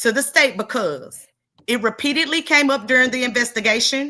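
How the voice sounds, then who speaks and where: A woman projects a raised voice with a bright, sharp tone and a passionate, animated delivery at a moderate pace. The recording is very clean, with a silent background. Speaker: true crime commentator. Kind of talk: reading prepared notes in commentary. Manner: loud.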